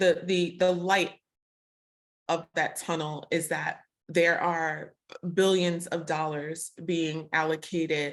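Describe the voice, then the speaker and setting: With a Brooklyn accent, a woman speaks very slowly in a flat monotone at a fairly low pitch, on a very clean recording with a silent background. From Brooklyn, New York. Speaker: podcast host. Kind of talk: casual interview conversation.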